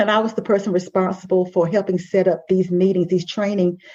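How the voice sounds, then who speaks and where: Here a woman speaks in a Southern US accent. Her pitch sits in the medium range. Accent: Southern drawl. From US South. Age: 60s. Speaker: life coach and podcast host. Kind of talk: podcast conversation. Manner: animated storytelling.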